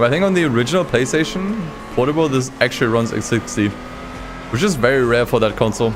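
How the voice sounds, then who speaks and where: A man talks at a very fast pace with lively intonation and very even loudness, music playing in the background. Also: medium pitch for a man. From Germany, North Rhine-Westphalia (Krefeld). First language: German. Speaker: gaming streamer. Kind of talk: live stream commentary. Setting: live stream.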